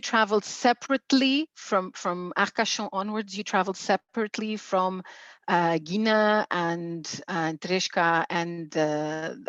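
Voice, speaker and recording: At a fairly slow pace, a woman with an unremarkable speaking voice talks with ordinary pitch variation, in a dry, close sound with no echo and a quiet background. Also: medium pitch for a woman. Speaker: museum coordinator. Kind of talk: interview host.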